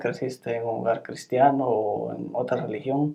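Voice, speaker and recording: This man's voice has a dark, mellow tone at a medium pitch. He keeps his intonation fairly even. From Guatemala. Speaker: YouTube channel host. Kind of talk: interview. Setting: in person, not over Zoom.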